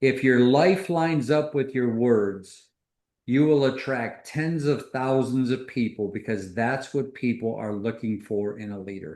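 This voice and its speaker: A man's medium-pitched voice with an American accent, fairly slow, with ordinary pitch variation and a quiet background. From US Midwest, Detroit. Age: 60s. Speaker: business executive, co-founder. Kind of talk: video call interview on leadership.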